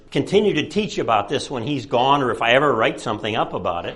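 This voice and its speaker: Lively intonation and a very fast pace come through with audible room echo. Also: man. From Chicago. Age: 70s. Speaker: retired professor and author. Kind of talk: lecture. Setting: presentation to an audience at a library.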